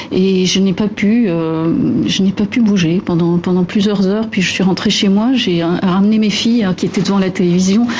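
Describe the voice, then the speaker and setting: Over noticeable background noise, a woman with a medium pitch speaks with fairly even intonation, very even loudness and hardly any pauses. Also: moderate pace. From Lebanon. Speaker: architect. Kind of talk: interview. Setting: studio. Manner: halting.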